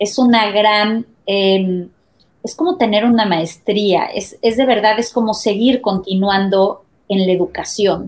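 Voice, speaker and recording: Her speech is very slow. This woman holds a medium pitch, and it varies in an ordinary way. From Mexico. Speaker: marketing and advertising executive. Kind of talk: interview.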